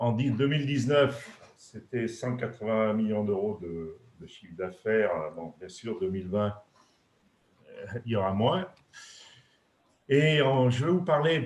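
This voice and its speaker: At a fairly slow pace with long, frequent pauses, a man speaks at a medium pitch with lively intonation, big swings in loudness and a somewhat breathy sound. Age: 60s. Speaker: retired industrial executive. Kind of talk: webinar presentation. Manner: halting, many hesitations.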